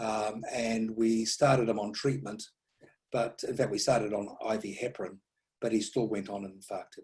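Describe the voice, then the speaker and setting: This man has a dark, mellow tone at medium pitch. His voice is somewhat breathy, with ordinary pitch variation. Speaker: stroke neurologist. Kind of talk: lecture. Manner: fast.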